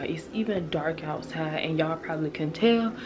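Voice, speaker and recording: Music plays in the background as a woman speaks. Her intonation is lively and her pace moderate. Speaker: family vlogger. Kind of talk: casual vlog.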